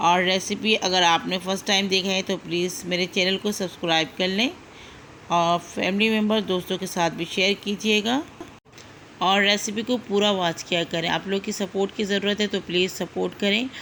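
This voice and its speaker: A woman speaks with a bright, sharp tone. Her intonation is fairly even. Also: medium pitch for a woman. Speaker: cooking channel host. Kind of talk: cooking tutorial.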